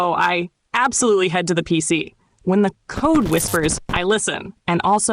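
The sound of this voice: An unforced reading voice comes through, with quiet behind it.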